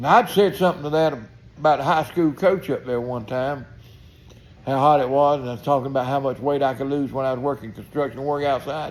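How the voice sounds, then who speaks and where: With a Southern US accent, a man of fairly high pitch talks at a fairly quick pace with ordinary pitch variation. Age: 70s. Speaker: retired tradesman vlogger. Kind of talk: casual monologue. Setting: outdoors on porch.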